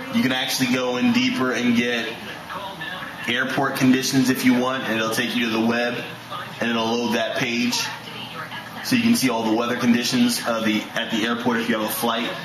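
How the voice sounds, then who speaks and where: A man talks at a fairly quick pace with monotone, flat intonation. There is noticeable background noise. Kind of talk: tutorial walkthrough. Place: home room. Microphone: phone near.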